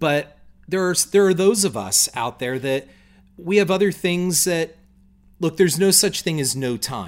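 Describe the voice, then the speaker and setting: In a very clean recording with a silent background, a man with a high pitch speaks at a moderate pace with lively intonation. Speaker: blogger's husband, co-host. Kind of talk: casual chat. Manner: loud.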